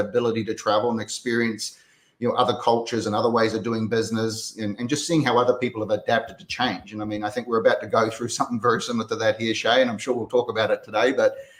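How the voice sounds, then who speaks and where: Very fast delivery from a man, medium in pitch and fairly even in intonation. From New Zealand. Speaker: real estate brokerage developer and coach. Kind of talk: casual interview chat.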